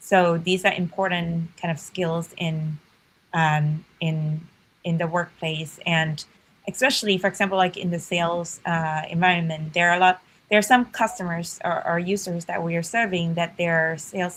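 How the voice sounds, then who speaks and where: Woman with a Chinese accent, fairly low pitch, fairly even intonation and moderate pace. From China, rural village. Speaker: startup founder and CEO. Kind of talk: podcast interview.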